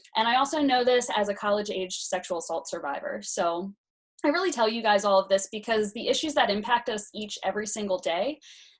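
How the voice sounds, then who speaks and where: A woman's very fast, lively voice, fairly high-pitched, with a Pennsylvania accent. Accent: Pennsylvania American English. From south-central Pennsylvania (Hanover, York County). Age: 20s. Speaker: congressional candidate. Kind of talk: campaign interview. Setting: online live video chat.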